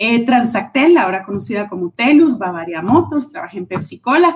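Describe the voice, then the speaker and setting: With lively intonation and a somewhat breathy sound, a woman talks at a moderate pace in a fairly high pitch. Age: 40s. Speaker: leadership trainer and speaker. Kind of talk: interview on a live stream.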